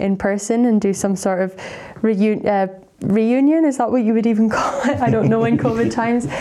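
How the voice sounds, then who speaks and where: This woman has a dark, mellow tone and fairly even intonation. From Scotland, Aberdeen. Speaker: PhD researcher. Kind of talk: interview. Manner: hesitant, with fillers and repeated words.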